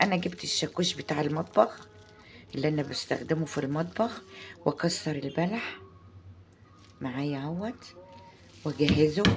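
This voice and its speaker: Speaking in an Egyptian accent at a fairly slow pace, a woman with a very deep, low pitch uses lively intonation and long, frequent pauses. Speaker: home cooking channel host. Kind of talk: cooking tutorial. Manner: halting, many restarts.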